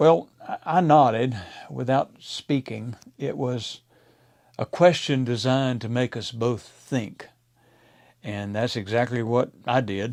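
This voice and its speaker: A medium-pitched man with an American accent at a very slow pace, with long, frequent pauses and ordinary pitch variation. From Mississippi, USA. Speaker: pastor. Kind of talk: devotional talk to camera.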